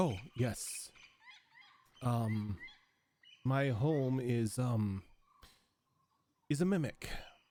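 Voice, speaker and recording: Using a put-on character voice, a man speaks at a very slow pace and medium pitch, with long, frequent pauses. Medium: actual play. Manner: gracious, slightly formal.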